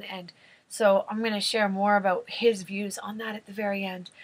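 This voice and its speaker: A woman at medium pitch, monotone and flat in intonation, at a moderate pace. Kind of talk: casual talk to camera, retelling a story.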